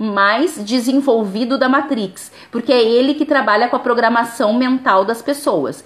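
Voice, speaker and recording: Over noticeable background noise, a woman talks in a high pitch. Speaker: spiritual life coach. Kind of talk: live stream talk.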